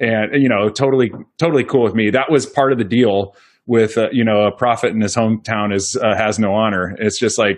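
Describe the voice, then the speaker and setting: With a US Midwestern accent, a man talks at a fairly quick pace with fairly even intonation against a quiet background. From central Iowa, US Midwest. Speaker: dentist and practice owner. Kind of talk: interview conversation.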